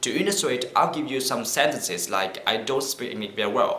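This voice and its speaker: A Vietnamese accent amid noticeable background noise and audible room echo. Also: man. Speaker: vlogger. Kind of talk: casual vlog talk to camera. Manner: halting.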